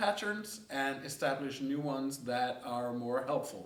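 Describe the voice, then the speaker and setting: A man with a Danish accent speaks at a fairly slow pace with lively intonation. Audible room echo and noticeable background noise fill the recording. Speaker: coaching course teacher. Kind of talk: lecture.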